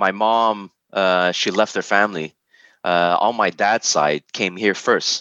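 Recorded dry and close with no echo, a man speaks fairly slowly in a fairly low pitch with a bright, sharp tone, very even loudness and fairly even intonation. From Montreal, Quebec. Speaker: podcast guest. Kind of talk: casual interview. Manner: halting, many fillers.

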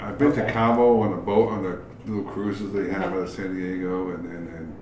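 A man with a fairly low pitch and fairly even intonation at a fairly quick pace, amid noticeable background noise and audible room echo. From New York, Queens. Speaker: brewery owner. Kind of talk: casual chat.

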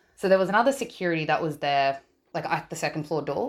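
This is a woman speaking. She has an Australian accent. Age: 20s. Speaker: listener sharing a story. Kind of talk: testimony. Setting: voice recording.

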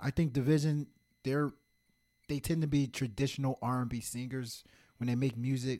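A man with an East Coast US accent talks at a moderate pace in a medium pitch, his tone dark and mellow and his intonation monotone and flat, with long, frequent pauses. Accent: East Coast American, heard as New York-like. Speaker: podcast co-host. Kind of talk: casual chat.

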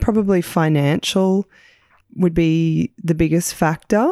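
A woman with a fairly low pitch and a dark, mellow tone uses lively intonation, in a dry, close sound with no echo. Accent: Australian. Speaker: podcast host, small business owner. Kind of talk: casual chat and interview.

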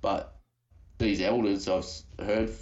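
There is audible room echo around this man's voice. He speaks in an Australian accent with vocal fry. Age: 30s. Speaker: paranormal YouTuber. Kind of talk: casual chat. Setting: remote call.

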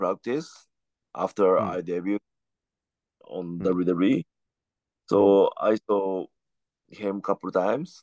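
Very slow speech from a man with a Japanese accent, fairly low in pitch, fairly even in intonation, with long, frequent pauses and a dry, close sound with no echo. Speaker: professional wrestler. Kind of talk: casual chat. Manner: halting.

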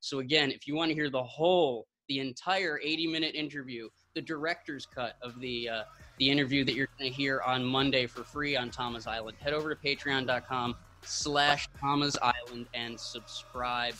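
Music plays in the background as a man talks. His medium-pitched voice moves at a moderate pace with fairly even intonation. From upstate New York. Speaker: podcast co-host. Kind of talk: casual interview; show outro.

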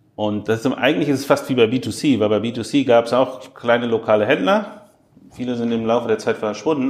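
A man's plain, everyday voice, medium in pitch, at a fairly quick pace. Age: 30s. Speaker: e-commerce executive. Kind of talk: interview. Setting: airport.

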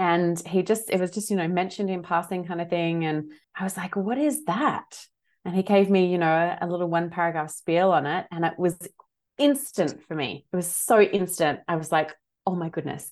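Speaking at a moderate pace with an Australian accent, a woman uses a fairly low pitch and ordinary pitch variation against a quiet background. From Australia, Adelaide. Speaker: holistic health coach and teacher. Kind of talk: interview.

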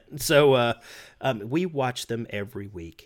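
The speaker has an ordinary speaking voice, talking at a fairly slow pace with ordinary pitch variation. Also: man, very clean recording, silent background. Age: 40s. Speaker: sports podcast host. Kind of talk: casual chat.

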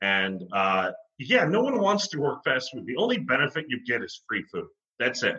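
With a bright, sharp tone and vocal fry, the voice moves at a moderate pace through very wide pitch swings. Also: man, fairly high pitch for a man. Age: 30s. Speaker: actor and singer. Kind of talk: casual interview. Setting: video call.

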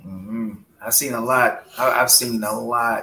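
The speaker is a man at medium pitch. He talks at a fairly slow pace. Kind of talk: casual chat.

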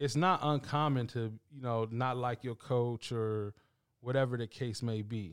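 A man with an ordinary speaking voice talks at a medium pitch with ordinary pitch variation, recorded very cleanly against a silent background in a dry, close sound with no echo. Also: fairly slow pace. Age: 20s. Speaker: podcast host. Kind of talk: casual chat.

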